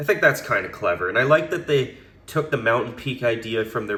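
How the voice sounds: A man speaks in a raspy, fairly bright voice at a fairly low pitch, with ordinary pitch variation.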